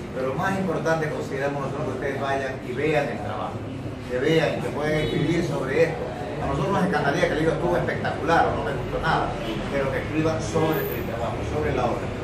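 With audible room echo and loud background noise, a man talks very fast with ordinary pitch variation. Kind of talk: press conference announcement. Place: cafe.

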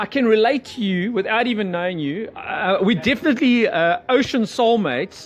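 Talking at a moderate pace, a man with a high pitch uses lively intonation.

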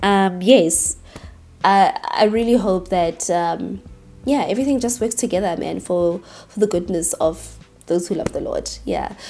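A woman of medium pitch talks at a fairly slow pace, her tone slightly mellow and her pitch variation ordinary.

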